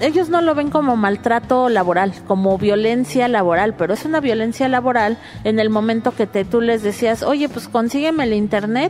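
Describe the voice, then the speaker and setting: Noticeable background noise accompanies a woman who speaks with hardly any pauses. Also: fairly high pitch for a woman, lively intonation, moderate pace. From Mexico City. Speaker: activist and data mapper. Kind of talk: interview.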